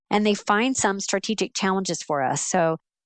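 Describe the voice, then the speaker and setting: In a dry, close sound with no echo and a quiet background, a woman uses an ordinary speaking voice at a medium pitch, with ordinary pitch variation and a moderate pace. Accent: American. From Central Florida. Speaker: business professor. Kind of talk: interview.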